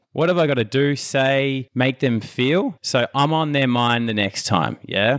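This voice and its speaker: A man speaks in a normal speaking voice at medium pitch with ordinary pitch variation. His pace is fairly slow, with very even loudness and hardly any pauses. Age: 30s. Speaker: business and mindset coach. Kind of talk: interview conversation.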